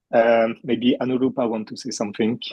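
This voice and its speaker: The speaker uses a French accent and a monotone, flat intonation at a moderate pace. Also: man. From France. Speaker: puppeteer and teacher. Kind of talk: talk to online audience. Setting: video call. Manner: halting.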